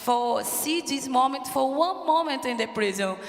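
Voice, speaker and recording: A woman with a Portuguese accent speaks fairly slowly in a high voice with ordinary pitch variation. Noticeable background noise and audible room echo surround her. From Brazil, Rio de Janeiro. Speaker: prison reform advocate, panelist. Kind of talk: panel discussion. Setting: conference stage in a church with audience. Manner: halting, searching for words.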